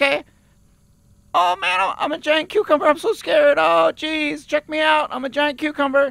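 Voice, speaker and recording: Putting on a character voice, a man pushes his pitch extremely high. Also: moderate pace. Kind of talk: improvised comedy character voices. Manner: scared, whiny.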